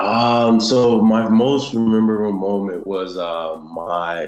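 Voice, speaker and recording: Music plays in the background as a man with an American accent speaks in a fairly low voice with fairly even intonation. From South Florida (born in Haiti). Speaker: American football player. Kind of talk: interview. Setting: video call. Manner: casual, many fillers.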